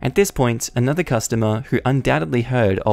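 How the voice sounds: Reading in a natural voice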